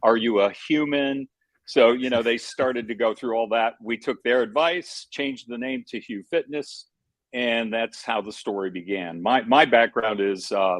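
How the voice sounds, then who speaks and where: A man with a plain, everyday voice speaks at a moderate pace and medium pitch. The sound is dry and close with no echo, over a quiet background. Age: 60s. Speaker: fitness franchise founder. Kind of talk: interview. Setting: call.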